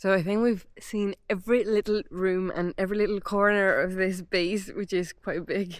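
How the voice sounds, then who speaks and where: At a moderate pace with hardly any pauses, a woman of medium pitch speaks with a monotone, flat intonation. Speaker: travel vlogger. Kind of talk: casual vlog narration. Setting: outdoors, abandoned army base.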